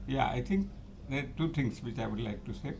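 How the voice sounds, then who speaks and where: A man speaks with audible room echo. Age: 80s+. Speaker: chartered accountant and tax expert. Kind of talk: interview.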